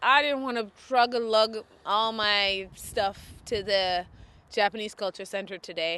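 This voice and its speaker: The tone is bright, sharp and animated, and the background is quiet. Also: woman. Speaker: knitting podcast host. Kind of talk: casual chat. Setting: outdoors.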